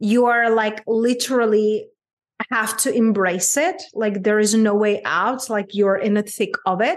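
A fairly high-pitched woman at a moderate pace, with a Czech accent. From Czech Republic, small town. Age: 30s. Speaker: abundance coach. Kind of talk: interview conversation.

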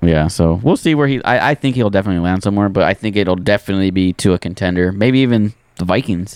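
At a very fast pace, a man speaks at a fairly low pitch with ordinary pitch variation and very even loudness, the sound dry and close with no echo. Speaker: sports podcast host. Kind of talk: casual sports chat.

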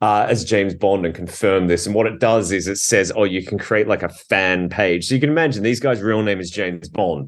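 This man speaks at a fairly quick clip with hardly any pauses, using a fairly low voice, ordinary pitch variation and an Australian accent. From Australia, Adelaide. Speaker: documentary film director. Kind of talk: interview. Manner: halting.

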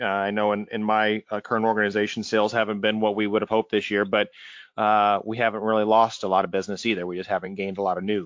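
A man with an American accent, fairly low-pitched, talking very fast in a monotone, flat delivery. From US Midwest, small town near St. Louis. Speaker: podcast host. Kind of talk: interview.

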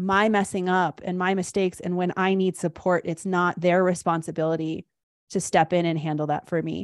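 Recorded very cleanly against a silent background with a dry, close sound and no echo, a woman speaks in an ordinary speaking voice at a medium pitch and a moderate pace. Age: 40s. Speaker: life coach. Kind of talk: casual chat.

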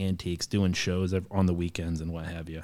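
The speaker has a Midwestern US accent and a monotone, flat intonation. The recording is very clean with a silent background. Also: man. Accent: US Midwest. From Ohio, US Midwest. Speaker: manufacturing business leader. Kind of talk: casual interview.

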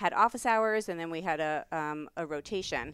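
A New York accent on a very clean recording with a silent background. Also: woman. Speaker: professor. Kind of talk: casual chat.

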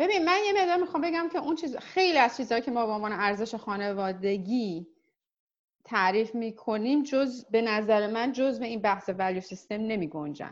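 Against a quiet background, a woman talks at a fairly quick pace in a fairly high voice with very wide pitch swings. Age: 40s. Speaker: insurance professional. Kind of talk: casual chat.

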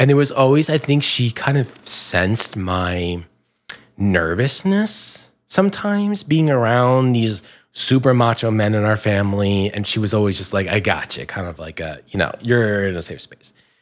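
With an American accent, a man talks at a moderate pace in a fairly low pitch, with lively intonation and an ordinary speaking voice. The recording is very clean, with a silent background. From New Jersey, Bergen County. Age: 30s. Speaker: LGBTQ marketing professional. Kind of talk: casual chat.

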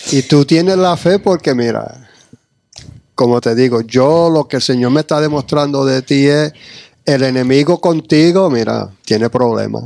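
A man with an unremarkable speaking voice talks fairly slowly in a fairly high pitch with ordinary pitch variation, in a dry, close sound with no echo. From New York / New Jersey. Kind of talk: casual chat. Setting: church.

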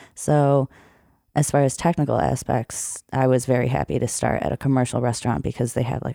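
A woman talks at a fairly quick pace with a very deep, low pitch and vocal fry. Her tone is dark and mellow, the sound dry and close with no echo. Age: 20s. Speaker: bartender and strongman competitor. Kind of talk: casual chat. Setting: studio.

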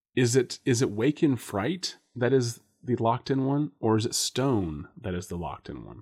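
Vocal fry and lively intonation come through in a very clean recording with a silent background, the sound dry and close with no echo. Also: man. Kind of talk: casual chat.

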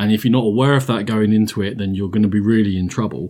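On a very clean recording with a silent background, a man has an ordinary speaking voice, fairly low in pitch, with ordinary pitch variation. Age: 40s. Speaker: board game podcast host. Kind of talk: casual chat.

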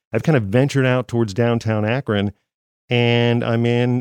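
In a quiet background with a dry, close sound and no echo, a man with an American accent and a plain, everyday voice speaks at a moderate pace and medium pitch with fairly even intonation. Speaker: podcast host, former radio broadcaster. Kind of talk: interview.

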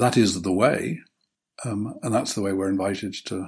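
A man with a British accent speaks at a fairly low pitch, somewhat breathy. His pace is moderate. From Britain. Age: old. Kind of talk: casual interview. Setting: video call.

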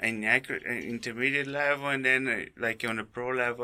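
On a very clean recording with a silent background, a man with a Brazilian accent speaks at medium pitch in a monotone, flat intonation and a bright, sharp tone. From Brazil (raised in Rio de Janeiro). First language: Portuguese. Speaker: skydiving tandem instructor. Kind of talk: casual interview.

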